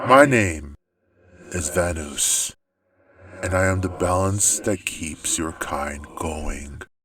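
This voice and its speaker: A man's put-on character voice, very deep and low, very slow, with ordinary pitch variation and long, frequent pauses. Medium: read story. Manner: ominous, cryptic.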